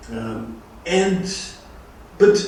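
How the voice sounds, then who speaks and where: Noticeable background noise fills the clip, and the room adds audible echo. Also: man. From Brazil. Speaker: law professor. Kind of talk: lecture. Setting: online lecture from abroad. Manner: halting, many fillers.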